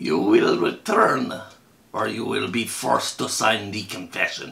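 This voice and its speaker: A man puts on a character voice with a raspy sound. He talks at a fairly slow pace. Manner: menacing, stern.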